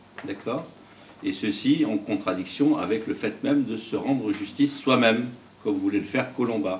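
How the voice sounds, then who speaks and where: With noticeable background noise behind him, a man of medium pitch talks at a moderate pace, with ordinary pitch variation and big swings in loudness. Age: 60s. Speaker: judge. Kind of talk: interview. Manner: halting.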